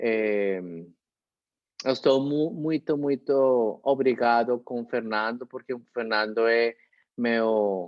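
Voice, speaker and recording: With a Spanish accent, a man speaks at a very slow pace, his fairly even intonation interrupted by long, frequent pauses. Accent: Spanish-speaker accent in Portuguese. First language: Spanish (speaking Portuguese). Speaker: lecturer. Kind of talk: closing remarks. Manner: halting.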